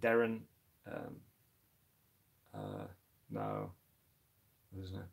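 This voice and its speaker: A man with a Dutch accent. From Netherlands. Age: 30s. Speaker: tarantula keeper YouTuber. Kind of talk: live stream chat. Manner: halting, many fillers and repeats.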